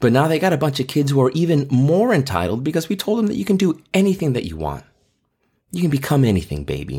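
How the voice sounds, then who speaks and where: Very fast and somewhat breathy, a man's fairly high voice with a dark, mellow tone swings very widely in pitch on a very clean recording with a silent background. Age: 40s. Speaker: podcast host and teacher. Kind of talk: solo commentary monologue.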